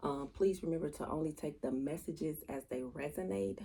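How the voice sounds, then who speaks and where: At a fairly quick pace, a woman talks in a dark, mellow tone with vocal fry. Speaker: tarot reader. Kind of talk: tarot reading. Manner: casual.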